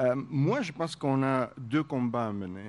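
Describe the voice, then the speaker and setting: A man speaks very slowly at a medium pitch, with ordinary pitch variation. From Armenia. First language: Armenian (speaking French). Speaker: radio broadcaster. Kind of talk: panel discussion.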